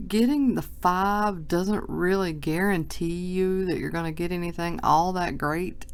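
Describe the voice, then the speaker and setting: Audible room echo fills the space as a woman talks at a fairly slow pace. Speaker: sports card collector. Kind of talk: box break video. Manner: casual, chatty.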